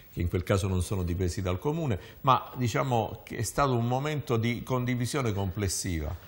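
A man speaks in a somewhat breathy voice with lively intonation. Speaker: local politician; talk show guest. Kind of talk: panel discussion. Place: studio. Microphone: lapel.

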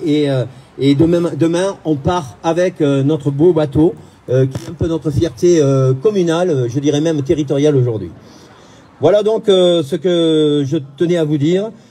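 Here a man talks at a fairly slow pace. His pitch varies in an ordinary way. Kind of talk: public speech. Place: waterside.

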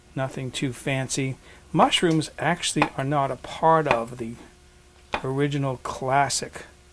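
Noticeable background noise sits behind a man speaking at a fairly slow pace. His pitch is fairly high and his intonation fairly even. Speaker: home cook. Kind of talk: cooking demonstration. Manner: calm, soft-spoken. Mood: friendly, relaxed, chatty. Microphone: lapel.

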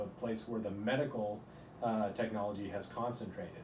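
A man with an American accent keeps a moderate pace while noticeable background noise runs behind him. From rural Utah, US. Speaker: neurosurgeon; interviewee. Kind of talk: interview. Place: office.

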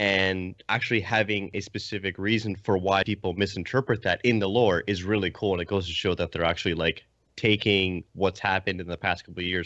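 At a very fast pace, a man speaks in a very deep, low voice, recorded dry with no echo over a quiet background. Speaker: podcast panelist. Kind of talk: casual chat. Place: home room.

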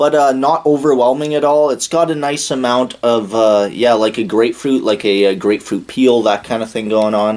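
A man at a moderate pace, ordinary pitch variation and hardly any pauses. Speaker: beer reviewer. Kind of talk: casual review commentary. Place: home room. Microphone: camera far.

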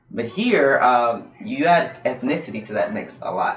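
Light background noise sits behind a man speaking with an American accent. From North Carolina. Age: 20s. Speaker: doctoral student and guitarist; guest. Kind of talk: casual interview. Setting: livestream. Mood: relaxed, animated. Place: studio.

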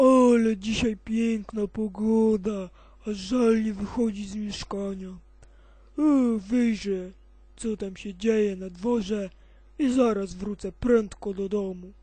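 A cartoonish character voice, female-sounding and whiny, comes out at a fairly high pitch and a fairly slow pace. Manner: whiny, grumbling.

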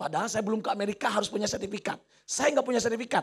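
A man's high-pitched voice in an animated tone. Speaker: motivational speaker and trainer. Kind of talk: motivational talk to students.

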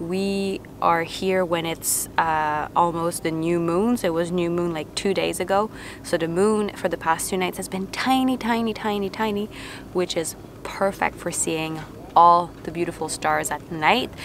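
In an unremarkable speaking voice, a woman with a fairly low pitch and ordinary pitch variation speaks over light background noise, the sound dry with no echo. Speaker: travel vlogger. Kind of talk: casual vlog chat. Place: open country. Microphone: phone near.

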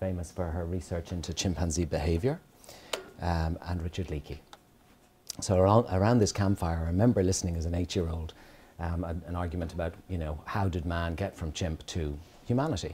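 With a very deep, low pitch, a man speaks at a moderate pace with fairly even intonation over light background noise. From Kenya. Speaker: dermatologist giving a guest lecture. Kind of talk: lecture. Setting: lecture hall with audience. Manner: hesitant, many fillers. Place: classroom. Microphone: podium.

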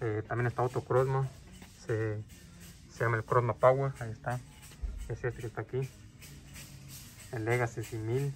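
With faint music in the background, a man of medium pitch speaks in a monotone, flat way, leaving long, frequent pauses. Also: moderate pace. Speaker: airgun youtuber. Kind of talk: store walkthrough video. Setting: inside a store. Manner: loud. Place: shop. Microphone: phone near.

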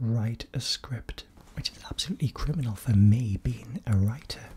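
A soft-spoken man talks at a fairly slow pace, somewhat breathy. His tone is gentle, dark and mellow. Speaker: video creator. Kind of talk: soft-spoken casual vlog chat. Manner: soft-spoken, gentle close-mic voice. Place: home room.

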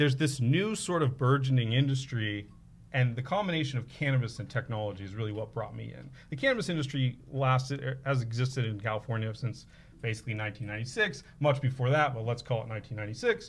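Somewhat breathy, a man moves at a fairly quick pace. His loudness swings widely, with ordinary pitch variation. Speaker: podcast guest. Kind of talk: interview answer. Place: studio. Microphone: studio mic.

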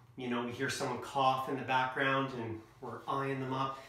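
A man at a fairly quick pace, with audible room echo. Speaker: presenter or coach. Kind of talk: lecture. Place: home room. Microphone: camera far.

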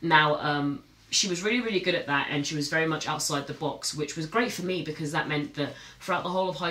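A woman with a very deep, low pitch talks at a very fast pace amid audible room echo. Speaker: content creator. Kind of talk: casual vlog chat. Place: studio.

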